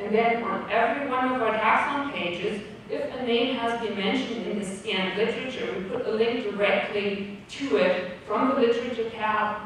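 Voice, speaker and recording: Speech moves at a moderate pace with hardly any pauses and fairly even intonation. Strong room echo and light background noise are present. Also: woman. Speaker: conference presenter. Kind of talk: lecture. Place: hall.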